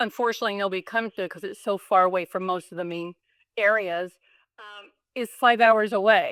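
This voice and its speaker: On a very clean recording with a silent background and a dry, close sound with no echo, a woman with a plain, everyday voice speaks fairly quickly at a medium pitch, her intonation fairly even but her loudness swinging widely. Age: 60s. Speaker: dog breeder and show judge. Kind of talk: casual interview.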